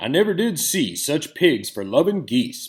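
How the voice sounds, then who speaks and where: Putting on a character voice, a man speaks at a moderate pace in a high pitch. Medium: read story. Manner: blunt, countrified.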